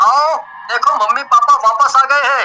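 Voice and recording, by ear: A cartoonish character voice from a man, extremely high pitched with a bright, sharp tone, ordinary pitch variation and fairly slow pace.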